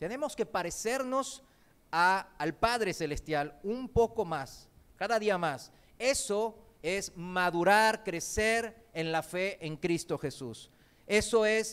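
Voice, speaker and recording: A man speaks at a very slow pace with a high pitch and lively intonation. The recording is very clean, with a silent background. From Korean heritage, not raised in Korea; learned Spanish in Argentina. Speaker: preacher. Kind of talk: sermon.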